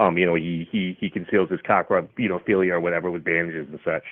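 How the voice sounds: A man talks at a fairly quick pace. His pitch sits low. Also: fairly even intonation.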